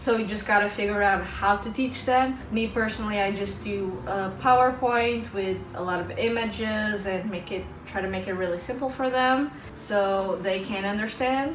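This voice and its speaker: Amid noticeable background noise and audible room echo, a woman speaks at a moderate pace with hardly any pauses and ordinary pitch variation. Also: medium pitch for a woman. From Portugal. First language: Portuguese. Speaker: vlogger and English teacher. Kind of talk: casual vlog talk to camera.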